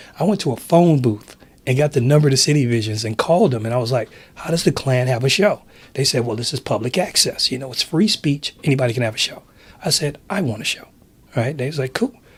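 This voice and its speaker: Speaking quietly and very fast, a man with an American accent uses a medium pitch and lively intonation. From San Francisco, US West Coast. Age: 50s. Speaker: TV producer and announcer. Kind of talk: casual interview. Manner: calm, quiet.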